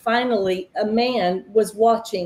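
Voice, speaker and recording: A woman with a Southern US accent, fairly high in pitch, with fairly even intonation. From Tennessee, US South. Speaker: ministry founder and recovery counselor. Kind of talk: panel interview, personal testimony.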